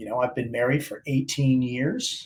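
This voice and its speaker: Speaking at a moderate pace, a man uses a medium pitch. He has an American accent and sounds somewhat breathy. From Baltimore, Maryland (Dundalk). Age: 50s. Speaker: Navy SEAL veteran and motivational speaker. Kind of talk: interview.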